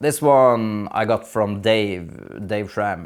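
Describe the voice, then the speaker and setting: A man's fairly low voice with a non-native accent and ordinary pitch variation, very cleanly recorded over a silent background. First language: not English. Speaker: gardening youtuber. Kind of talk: casual tutorial vlog. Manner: hesitant, many fillers.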